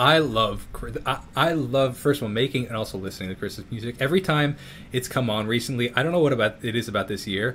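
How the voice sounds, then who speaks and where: A man with an American accent talks at a very fast pace in a medium pitch with ordinary pitch variation, music playing in the background. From New York. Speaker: YouTuber and musician. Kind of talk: casual interview chat. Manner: halting.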